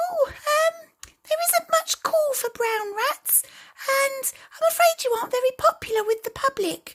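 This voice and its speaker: A female-sounding, squeaky, put-on character voice speaks at a moderate pace in an extremely high pitch. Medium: read story. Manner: hesitant.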